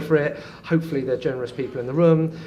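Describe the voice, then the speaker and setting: A man rushes along at a very fast pace, with noticeable background noise behind him. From London, England. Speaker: property auctioneer. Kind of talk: interview answer. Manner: energetic, loud, fast-talking.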